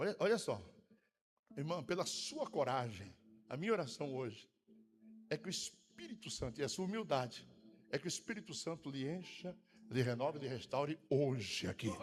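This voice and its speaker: Somewhat breathy and fairly high-pitched, a man speaks with very wide pitch swings and long, frequent pauses. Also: moderate pace. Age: 60s. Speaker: pastor. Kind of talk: sermon. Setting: church.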